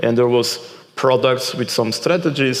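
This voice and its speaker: A man at a moderate pace, in a Portuguese accent, with noticeable background noise and audible room echo. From Portugal. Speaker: keynote speaker and author. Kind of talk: conference Q&A.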